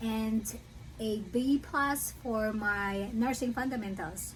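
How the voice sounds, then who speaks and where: A woman with a Filipino accent, fairly high in pitch and somewhat breathy, at a very slow pace with ordinary pitch variation and audible room echo. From Philippines. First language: Filipino language. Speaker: nursing student. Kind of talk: casual vlog talk. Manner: hesitant, with fillers.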